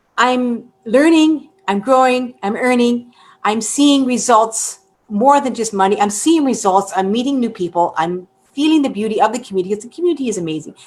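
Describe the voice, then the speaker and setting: Using a normal speaking voice, a woman speaks at a moderate pace with lively intonation and a fairly high pitch. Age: 60s. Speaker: online business program member. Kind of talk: testimony. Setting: live webinar.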